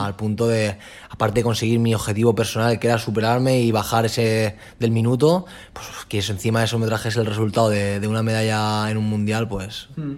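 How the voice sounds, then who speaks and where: A man talks at a fairly quick pace and medium pitch. He has a plain, everyday voice. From Alicante, Spain. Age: 20s. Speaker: track cyclist. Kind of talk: interview.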